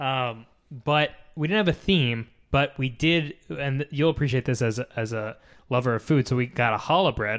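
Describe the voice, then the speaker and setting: At a moderate pace, a man talks in a normal speaking voice, with medium pitch and ordinary pitch variation. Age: 30s. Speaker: podcast co-host. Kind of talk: casual chat.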